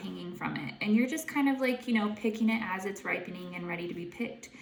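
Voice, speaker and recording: There is audible room echo around a woman's fairly high voice. Her pitch varies in an ordinary way. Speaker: intuitive guide and tarot reader. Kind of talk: tarot reading to camera. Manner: halting, many fillers; casual, chatty.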